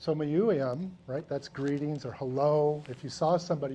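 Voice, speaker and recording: A man with an American accent and a plain, everyday voice speaks at a moderate pace, his fairly high pitch showing ordinary pitch variation. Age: 60s. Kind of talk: educational talk to students. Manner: conversational, frequent 'right?' tags.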